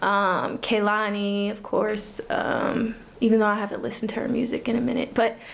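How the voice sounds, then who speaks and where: A woman speaks at a moderate pace in a fairly high, monotone, flat voice. Noticeable background noise can be heard. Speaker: singer-songwriter. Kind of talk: casual interview chat.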